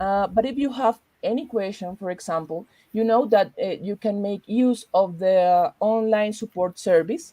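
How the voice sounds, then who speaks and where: Over a quiet background, a woman with a Spanish accent speaks at a medium pitch in a dark, mellow tone with ordinary pitch variation, the sound dry and close with no echo. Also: moderate pace. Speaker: librarian. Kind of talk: tutorial; interview. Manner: halting.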